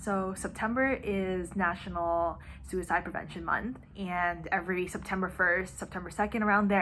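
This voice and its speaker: A medium-pitched woman with an American accent, at a moderate pace and fairly even intonation. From United States. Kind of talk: casual talk to camera. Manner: emotional, earnest.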